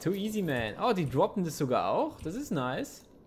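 Vocal fry runs through this voice at a moderate pace. The pitch swings very widely. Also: man. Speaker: gaming youtuber. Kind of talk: let's play commentary. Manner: animated.

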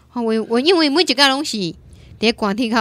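A woman speaks in an animated tone with lively intonation. The sound is dry, with no echo. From Taiwan. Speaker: radio host. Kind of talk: radio call-in show. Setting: studio. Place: studio. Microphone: studio mic.

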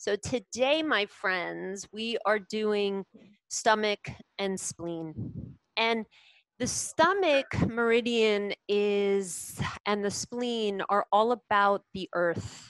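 A woman talks at a very slow pace with ordinary pitch variation. Her sound is dry with no echo, and the background is quiet. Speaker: yoga teacher. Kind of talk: class instruction. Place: home room. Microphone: headset.

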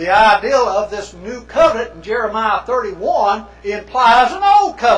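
The voice belongs to a man with a high pitch. Room echo is audible. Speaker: preacher lecturer. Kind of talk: sermon. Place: church.

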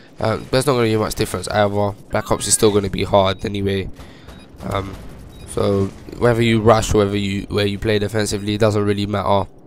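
Fairly quick, fairly low-pitched speech from a man, monotone and flat in intonation, with music in the background. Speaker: gaming YouTuber. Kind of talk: gameplay commentary. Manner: halting; quiet.

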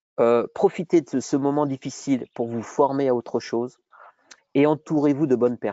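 An ordinary speaking voice at a moderate pace, with fairly even intonation, dry with no echo, against a quiet background. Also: man. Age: 50s. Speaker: entrepreneur, former gym owner; guest. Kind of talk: webinar interview. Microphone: earbuds.

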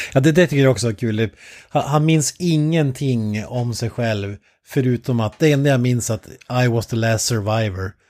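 An unremarkable speaking voice: a man at a moderate pace with ordinary pitch variation. The recording is very clean and dry, close, with no echo and a silent background. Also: medium pitch for a man. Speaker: podcast co-host. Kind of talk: casual chat.

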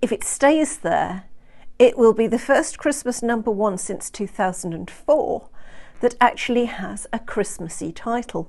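A woman with a fairly high pitch and a slightly mellow tone speaks with lively intonation and vocal fry. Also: fairly slow pace.

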